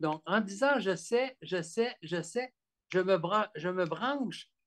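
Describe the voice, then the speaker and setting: Very slowly, a man with a Quebec accent speaks at a high pitch. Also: quiet background. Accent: Québécois French. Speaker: author and therapist; guest. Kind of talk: interview about his book. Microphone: video call.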